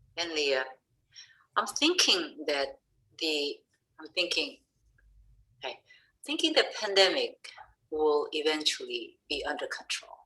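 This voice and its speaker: A woman with a non-native accent speaks at a fairly slow pace. She leaves long, frequent pauses. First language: not English. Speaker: education researcher. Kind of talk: webinar discussion. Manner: halting.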